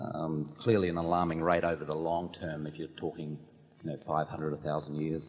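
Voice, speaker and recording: The speaker talks at a fairly quick pace in an Australian accent, with a monotone, flat intonation. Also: man, very deep, low pitch for a man. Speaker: shareholder asking a question. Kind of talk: audience question at shareholder meeting.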